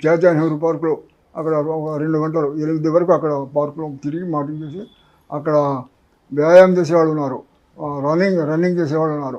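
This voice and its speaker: A man's fairly high voice carries a dark, mellow tone, delivered in a monotone with flat intonation. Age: 80s+. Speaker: former union activist. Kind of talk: interview. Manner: halting.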